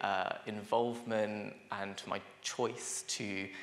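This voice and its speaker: A man with a London accent speaks at a fairly low pitch, with audible room echo and noticeable background noise. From London, England. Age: 20s. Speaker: social worker and lecturer. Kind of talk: conference workshop presentation. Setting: conference room with audience. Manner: hesitant, many fillers.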